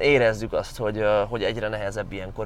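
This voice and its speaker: Noticeable background noise surrounds a man whose voice sits at a medium pitch. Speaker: strength coach vlogger. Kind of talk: casual vlog monologue. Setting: in a car. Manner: stammering, hesitant.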